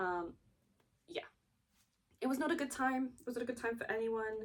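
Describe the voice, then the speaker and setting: The speaker is a woman. She has a British accent. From Britain. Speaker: video essayist. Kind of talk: video essay, partly read from notes. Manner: casual, with fillers and self-corrections.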